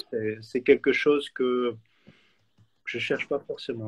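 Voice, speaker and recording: A man's voice sits at a medium pitch. The moderate-paced speech sounds dry and close, with no echo. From Switzerland. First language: German (speaking French). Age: 40s. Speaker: photographer. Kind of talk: interview. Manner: halting.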